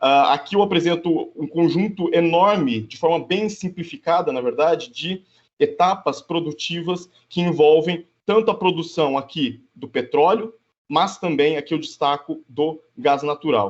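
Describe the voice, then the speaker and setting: A man speaks in a high voice whose pitch shifts in an ordinary way. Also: fairly slow pace. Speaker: geography professor. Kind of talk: conference presentation. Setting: video call. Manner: hesitant, many filler sounds.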